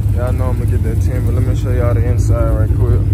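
The speech comes at a very fast pace over loud background noise, in a dry sound with no echo. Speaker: car owner vlogger. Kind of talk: casual vlog chat. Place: street. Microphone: phone near.

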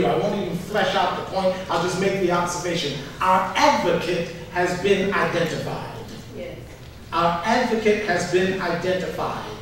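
A man with a high voice talks at a moderate pace with ordinary pitch variation, strong room echo and light background noise. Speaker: pastor. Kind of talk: sermon. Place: church.

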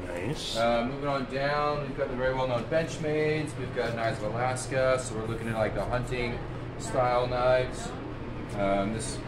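Noticeable background noise fills the recording. The man's delivery moves at a moderate pace. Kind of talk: guided tour explanation. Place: shop. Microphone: phone near.

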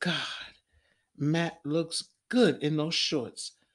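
This hoarse, put-on character voice sits at a middle pitch.

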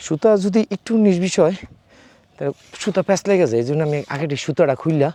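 In a dry, close recording with no echo, a man talks with lively intonation and a dark, mellow tone. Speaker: hobby farmer vlogger. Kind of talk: garden tour vlog. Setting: outdoors.

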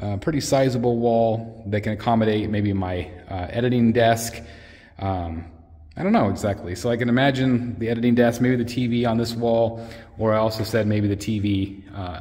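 With fairly even intonation, a man's voice has a dark, mellow tone. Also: moderate pace. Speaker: collector channel host. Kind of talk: casual vlog chat. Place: workshop. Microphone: phone near.

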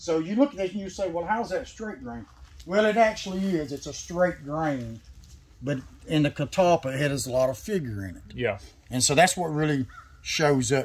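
A man in a Tennessee accent talks at a moderate pace and a fairly high pitch, with very wide pitch swings and big swings in loudness. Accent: Southern US, Tennessee. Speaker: sawmill owner. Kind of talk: casual chat. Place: farm machine. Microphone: camera far.

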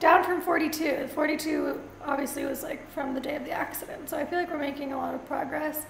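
A woman's monotone, flat delivery with audible room echo and light background noise. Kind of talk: casual vlog chat. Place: home room. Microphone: camera far.

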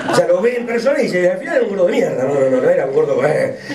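Over loud background noise, this man rattles along at a very fast speed. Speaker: stand-up comedian. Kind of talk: stand-up comedy monologue. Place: stage.

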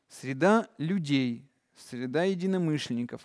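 A male speaker over a quiet background. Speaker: meditation course leader; presenter. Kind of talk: lecture. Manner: animated, gestures a lot. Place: hall.

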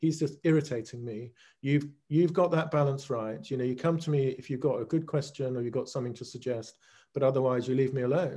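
Speaking at a fairly quick pace with a British accent, a man with a medium pitch and a dark, mellow, somewhat breathy tone keeps his intonation fairly even against a quiet background. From Great Britain. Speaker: leadership coach, former accounting partner. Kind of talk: interview answer.

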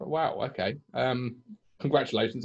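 Over a quiet background, a man with a medium-pitched voice talks at a fairly slow pace. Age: 30s. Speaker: football podcast host. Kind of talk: casual interview. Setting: remote call during lockdown. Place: home room.

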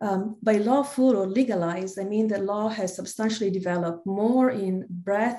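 Moderately paced speech from a woman, with pitch moving in an ordinary way. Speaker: panel moderator. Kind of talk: conference introduction. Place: home room. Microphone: webcam.

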